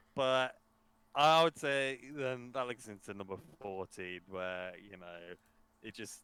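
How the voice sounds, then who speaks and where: A bright, sharp tone in a British accent, with lively intonation, big swings in loudness and a fairly slow pace. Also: man. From Britain. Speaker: podcast co-host. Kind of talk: casual chat.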